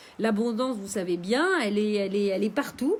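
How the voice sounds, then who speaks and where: Moderate pace and lively intonation from a somewhat breathy woman pitched fairly high. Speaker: meditation teacher. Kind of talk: live stream guided meditation. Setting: live stream. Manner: halting, many fillers.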